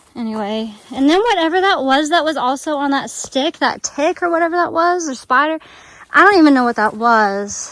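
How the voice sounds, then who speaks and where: With a Southern US accent, a woman talks fairly quickly in a high pitch, her intonation lively. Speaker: travel vlogger. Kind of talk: vlog narration while hiking. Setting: outdoors on a forest walking track. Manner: halting, many fillers and restarts.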